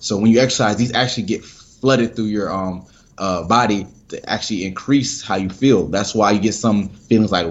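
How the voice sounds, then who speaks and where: This man has a plain, everyday voice with an American accent. He speaks fairly quickly at a fairly low pitch. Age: 20s. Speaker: sports psychologist. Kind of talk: podcast interview.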